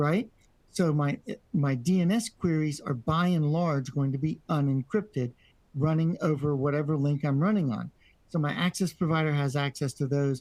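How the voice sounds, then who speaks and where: A man talks in an unremarkable speaking voice, his pitch fairly high for a man with ordinary variation. His loudness stays very even and his pace is moderate. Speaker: networking instructor. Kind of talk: lecture.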